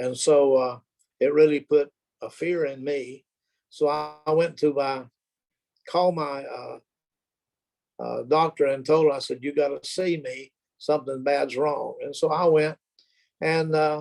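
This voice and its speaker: A man's fairly high, monotone voice with flat intonation, fairly slow, broken by long, frequent pauses. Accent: Southern US. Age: 70s. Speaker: retiree sharing health testimony. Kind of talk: testimony. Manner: halting, many fillers.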